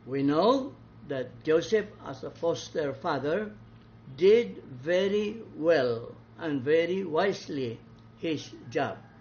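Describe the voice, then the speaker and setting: With a Visayan Filipino accent, someone speaks at a very slow pace with lively intonation. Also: man, fairly high pitch for a man. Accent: Filipino (Cebuano) English. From Philippines, Cebu. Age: 80s+. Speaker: priest and Bible teacher. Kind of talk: Bible study talk.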